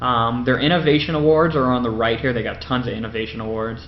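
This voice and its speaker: Audible room echo follows a man speaking at a medium pitch and a fairly quick pace with lively intonation. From Windsor, Ontario, Canada. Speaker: podcaster and gaming youtuber. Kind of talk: casual video narration of photo slideshow. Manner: fast; hesitant, many fillers.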